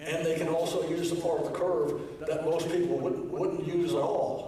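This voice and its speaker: Fairly high-pitched man's voice in monotone, flat intonation at a moderate pace, with audible room echo and noticeable background noise. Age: 80s+. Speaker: amateur radio club presenter. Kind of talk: lecture. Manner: halting.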